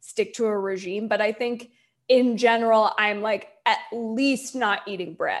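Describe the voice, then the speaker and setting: Speaking in an ordinary speaking voice with an American accent, a woman keeps a moderate pace, a fairly high pitch and fairly even intonation. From US, Delaware. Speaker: comedy writer. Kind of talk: casual chat.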